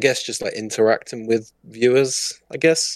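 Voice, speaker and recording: This man has a southern English accent and a medium pitch. He talks at a moderate pace with ordinary pitch variation. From southern England. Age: 20s. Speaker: Twitch streamer and gamer. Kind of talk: casual chat.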